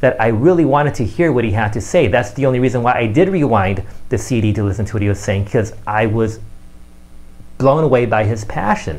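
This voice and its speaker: A man's fairly quick speech with lively intonation and vocal fry. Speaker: marketing coach and magician. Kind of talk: video tips monologue. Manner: fast.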